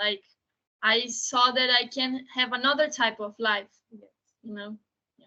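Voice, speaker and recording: A high-pitched woman in a Portuguese accent, fairly even in intonation, with big swings in loudness and long, frequent pauses. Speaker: documentary filmmaker. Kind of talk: panel Q&A. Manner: halting.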